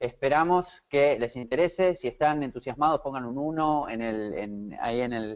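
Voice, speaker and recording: A man with an Argentine accent talks at a fairly high pitch and a moderate pace. He uses ordinary pitch variation and hardly any pauses. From Argentina, Buenos Aires. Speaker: SEO consultant. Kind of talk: webinar presentation. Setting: online webinar. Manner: hesitant, many fillers.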